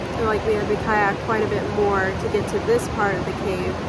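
Loud background noise surrounds a woman whose voice sounds dry with no echo. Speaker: travel vlogger. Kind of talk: casual vlog chat. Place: tunnel cave. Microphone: phone near.

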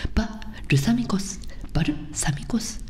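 A woman whispers in a soft-spoken way at a fairly slow pace. Light background noise sits behind her. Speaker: comedian and video host. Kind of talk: ASMR whispered wordplay video. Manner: whispering, soft-spoken, casual. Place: home room. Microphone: studio mic.

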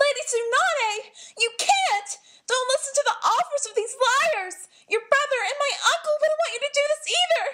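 In a cartoonish character voice, the speaker moves at a moderate pace. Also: female-sounding voice, extremely high pitch for a woman. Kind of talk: anime character demo reel. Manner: pleading, worried.

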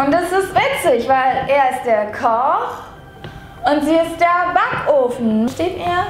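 A woman speaks at a very slow pace and an extremely high pitch, with audible room echo and light background noise. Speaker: vlogger. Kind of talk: casual vlog chat. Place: home room.

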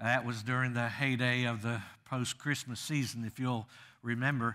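Over a quiet background, a man talks at a moderate pace in a bright, sharp tone. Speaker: guest preacher. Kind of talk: sermon. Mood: humorous, warm storytelling. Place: church.

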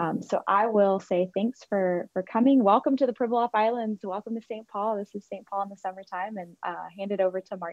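A woman talks at a fairly quick pace with hardly any pauses, her loudness swinging widely while her intonation stays fairly even, all in a dry sound with no echo. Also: quiet background. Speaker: environmental scientist. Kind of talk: presentation. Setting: video call. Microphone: video call.

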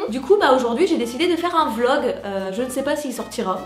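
Room echo and light background noise surround a woman who speaks at a fairly quick pace in a high pitch. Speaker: vlogger. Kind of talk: casual vlog chat. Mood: excited, playful. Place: home room.

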